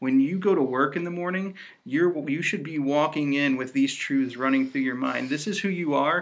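With an American accent, a man with an ordinary speaking voice talks at a fairly high pitch and ordinary pitch variation. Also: moderate pace. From Indiana. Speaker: associate pastor and podcast co-host. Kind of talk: casual faith podcast teaching.

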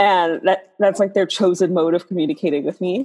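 With an American accent, a woman speaks at a moderate pace in an unremarkable speaking voice with medium pitch. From New York City, South Bronx. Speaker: astrologer and tarot reader. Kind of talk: casual interview chat.

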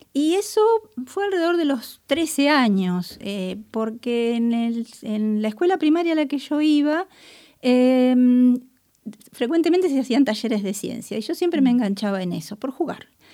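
A woman's high voice with a dark, mellow tone, fairly slow and with very wide pitch swings, on a very clean recording with a silent background. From Buenos Aires, Argentina. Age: 50s. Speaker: chemist and researcher. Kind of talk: interview. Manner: hesitant, many fillers.

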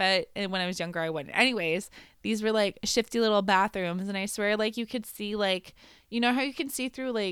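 A woman's unremarkable speaking voice, medium-pitched with ordinary pitch variation and a fairly quick pace, in a very clean recording against a silent background. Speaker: podcast host. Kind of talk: casual chat, storytelling.

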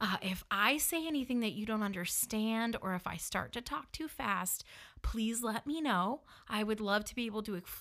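Here a woman with a northern US accent speaks at a fairly high pitch in an animated tone. Her voice sounds bright and sharp, with ordinary pitch variation. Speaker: podcast host. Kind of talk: personal storytelling. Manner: animated, laughs often.

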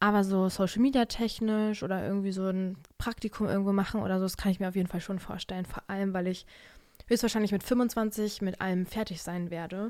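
Fairly quick speech from a woman with a medium pitch. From Germany. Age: 20s. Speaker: podcaster and student. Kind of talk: casual solo chat. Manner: animated. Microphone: new podcast microphone.

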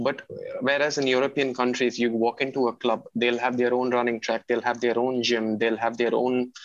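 This man talks at a moderate pace and a medium pitch. His intonation stays monotone and flat. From Chennai, India. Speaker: coast guard officer and tennis player. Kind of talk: interview.

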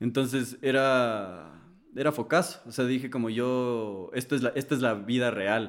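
Medium in pitch, a man speaks at a fairly slow pace with very even loudness and ordinary pitch variation. An unremarkable speaking voice. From Ecuador. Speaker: singer-songwriter. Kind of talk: casual chat. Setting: studio.

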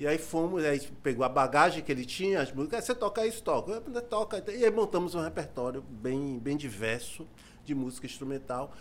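Speaking at a fairly quick pace, a man has a fairly high pitch. His pitch swings very widely. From Salvador, Bahia, Brazil (Cidade Baixa). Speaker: musician and music teacher. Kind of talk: casual interview chat. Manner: halting, many repetitions.

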